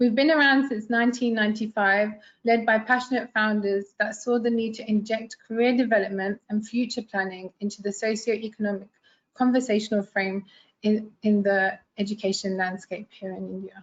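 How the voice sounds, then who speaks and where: A woman with a London accent speaks at a moderate pace in a fairly high, somewhat breathy voice. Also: fairly even intonation. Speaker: international relations staff presenter. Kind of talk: webinar presentation.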